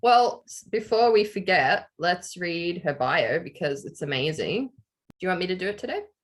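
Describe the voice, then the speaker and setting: With lively intonation and big swings in loudness, a woman speaks at a moderate pace. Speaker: podcast host. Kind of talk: casual chat.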